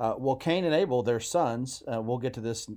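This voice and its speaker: Here is a plain, everyday voice: a man at a medium pitch with ordinary pitch variation and a moderate pace. The recording is very clean, with a silent background. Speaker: podcast co-host and preacher. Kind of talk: casual conversational Bible discussion.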